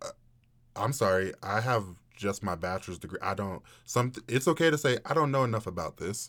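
Speech moves at a moderate pace with long, frequent pauses and ordinary pitch variation. The recording is very clean, with a silent background. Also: man. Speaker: guest co-host filling in. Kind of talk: casual chat. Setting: studio.

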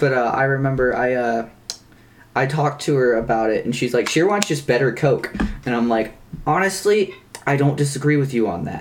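At a fairly quick pace, a man with an American accent speaks at a medium pitch with ordinary pitch variation over noticeable background noise. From US South, North Carolina. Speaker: podcast co-host. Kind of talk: casual chat.

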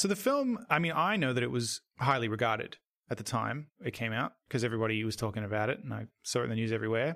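A man's medium-pitched voice in an Australian accent, bright and sharp in tone with vocal fry, ordinary pitch variation and a very fast pace. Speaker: horror film podcast co-host. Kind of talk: casual podcast discussion.

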